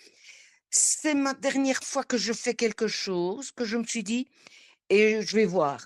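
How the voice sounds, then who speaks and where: A woman speaks very slowly in a fairly high voice with ordinary pitch variation. The recording is very clean, with a silent background. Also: dry, close sound with no echo. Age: 70s. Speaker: coaching client. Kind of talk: testimony. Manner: halting.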